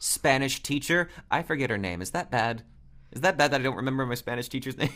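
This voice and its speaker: The recording is very clean, with a silent background. A man of medium pitch talks at a very fast pace with ordinary pitch variation. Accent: General American. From upstate New York. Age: 20s. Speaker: voice actor. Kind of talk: casual interview chat.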